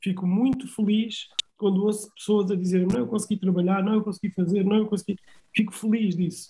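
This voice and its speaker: Monotone and flat, a man with a high pitch and a dark, mellow tone holds his loudness very even. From Almada, Portugal, Cape Verdean family. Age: 40s. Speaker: artist manager. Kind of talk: interview, casual chat. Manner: halting, many repetitions.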